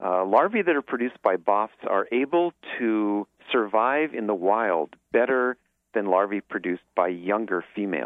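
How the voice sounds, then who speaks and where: Speaking in an ordinary speaking voice with an American accent, a man uses a fairly low pitch. His intonation is lively and his pace moderate. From Southern California (Santa Monica Bay). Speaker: marine biologist. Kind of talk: interview.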